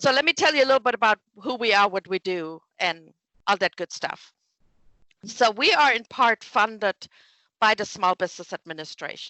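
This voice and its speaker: This woman speaks at a moderate pace. Her fairly high voice has lively intonation. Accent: German. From Germany. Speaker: small business development director. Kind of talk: interview.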